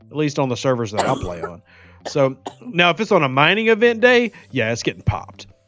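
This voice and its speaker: Over music in the background, a fairly high-pitched man uses very wide pitch swings at a moderate pace. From Louisiana. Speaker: gaming streamer. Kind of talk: live stream chat. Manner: careful enunciation.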